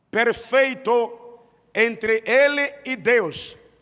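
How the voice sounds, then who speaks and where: In a Mozambican accent, a man speaks with an extremely high pitch. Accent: Mozambican, non-native Portuguese. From Mozambique. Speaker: pastor. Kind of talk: sermon. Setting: church service.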